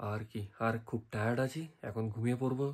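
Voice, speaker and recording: A man speaks at a medium pitch with fairly even intonation. The recording is very clean, its background silent. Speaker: travel vlogger. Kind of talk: vlog outro.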